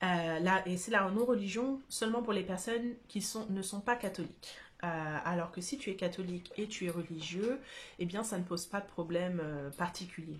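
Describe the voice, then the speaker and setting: A woman speaks at a moderate pace in a somewhat breathy, medium-pitched voice with ordinary pitch variation. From France. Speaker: YouTuber reviewing a book. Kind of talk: casual vlog monologue. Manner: hesitant, many fillers.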